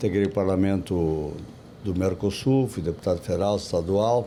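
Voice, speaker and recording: At a moderate pace, the speaker delivers words in a dark, mellow tone. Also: man. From southern Brazil, Rio Grande do Sul (Santa Maria). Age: 70s. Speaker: politician, city planning secretary. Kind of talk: interview. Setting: podcast at a book fair. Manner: halting, with repetitions.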